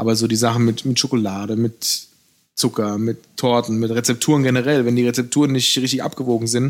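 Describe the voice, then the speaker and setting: A man at a medium pitch, fairly even in intonation, at a fairly quick pace. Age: 30s. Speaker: pastry chef. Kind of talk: interview conversation. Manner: hesitant fillers.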